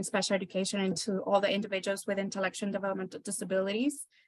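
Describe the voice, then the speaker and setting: At a medium pitch, a woman speaks with a Spanish accent. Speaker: parent advisory committee co-chair. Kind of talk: meeting remarks. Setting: hybrid meeting room.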